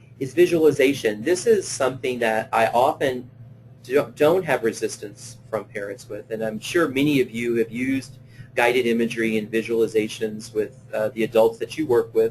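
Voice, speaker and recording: The voice is somewhat breathy, moving at a moderate pace. Pitch varies in an ordinary way. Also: man. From Louisiana. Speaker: play therapist presenting a webinar. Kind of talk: webinar lecture; guided visualization. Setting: online webinar. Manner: hesitant, many fillers.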